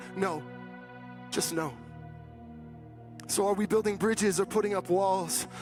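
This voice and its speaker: Over music in the background, a man speaks very slowly with long, frequent pauses. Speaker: pastor. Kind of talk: spoken word poetry performance. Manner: rhythmic, rhyming, passionate delivery.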